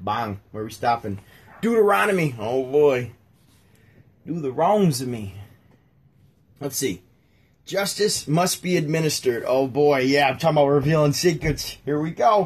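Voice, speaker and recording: A somewhat breathy man talks with a fairly high pitch and very wide pitch swings. He keeps a moderate pace but takes long, frequent pauses. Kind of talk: casual chat. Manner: sarcastic-sounding.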